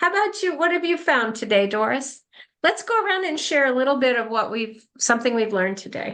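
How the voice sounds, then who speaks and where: A high-pitched woman's voice at a fairly quick pace, full of very wide pitch swings. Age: 70s. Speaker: end-of-life doula and meeting facilitator. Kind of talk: group discussion. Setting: video call.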